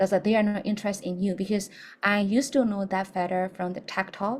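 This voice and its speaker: A woman speaks at a moderate pace and medium pitch. Her voice is somewhat breathy. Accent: non-native. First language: not English. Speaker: English teacher. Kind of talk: lecture.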